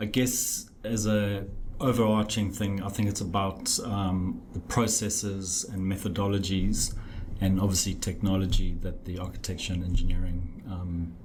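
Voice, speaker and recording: Flat and monotone, a man speaks at a fairly low pitch with a slight South African accent. Room echo is audible and background noise is noticeable. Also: moderate pace. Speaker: architect. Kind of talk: podcast interview. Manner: hesitant, many fillers.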